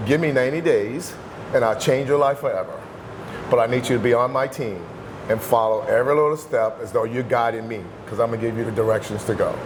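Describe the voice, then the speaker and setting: A man speaks at a very fast pace in a medium pitch, with ordinary pitch variation. Noticeable background noise and audible room echo are present. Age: 60s. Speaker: bodybuilder and fitness coach. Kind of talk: interview. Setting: gym.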